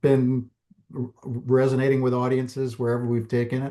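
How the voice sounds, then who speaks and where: A man's dark, mellow tone at medium pitch, delivered at a fairly slow pace. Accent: American. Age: 60s. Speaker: documentary filmmaker. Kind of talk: interview. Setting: podcast.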